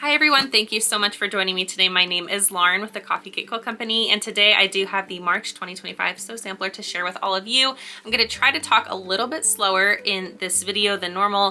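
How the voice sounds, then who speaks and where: A woman at a very fast pace with hardly any pauses, medium pitch and ordinary pitch variation, over noticeable background noise. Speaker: quilting YouTuber. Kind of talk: product unboxing review.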